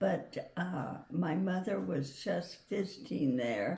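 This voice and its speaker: A woman with an American accent speaks very slowly in a dark, mellow tone, her pitch swinging very widely over a creaky vocal fry. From Wyoming, USA. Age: 80s+. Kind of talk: interview answer. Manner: slow, hesitant.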